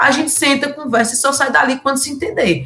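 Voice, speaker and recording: A woman speaks over noticeable background noise. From Pernambuco interior, Brazil. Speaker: politician (collective state deputy). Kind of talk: live podcast discussion.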